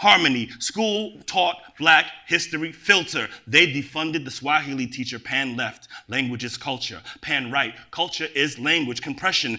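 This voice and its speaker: The voice carries an American accent and a bright, sharp tone. It moves at a moderate pace with ordinary pitch variation. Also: man. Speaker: poet. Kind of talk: poetry reading. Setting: stage with audience.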